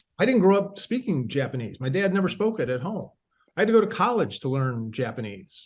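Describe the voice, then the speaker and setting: Speaking at a fairly quick pace with an American accent, a man uses a high voice that swings very widely in pitch. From US Midwest, Akron, Ohio. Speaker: writer. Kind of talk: podcast interview. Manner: halting, many fillers.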